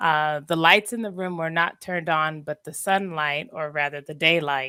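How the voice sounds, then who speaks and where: A woman speaks at a very deep, low pitch. Her intonation stays fairly even. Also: moderate pace, big swings in loudness. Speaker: caller sharing a dream. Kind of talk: telling a dream on a call-in show. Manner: halting, many fillers.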